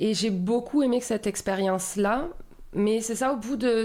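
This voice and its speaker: A woman's fairly high-pitched voice, with fairly even intonation, at a moderate pace. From southern France, Marseille region. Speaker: municipal community life coordinator. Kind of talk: podcast interview. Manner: hesitant, many fillers.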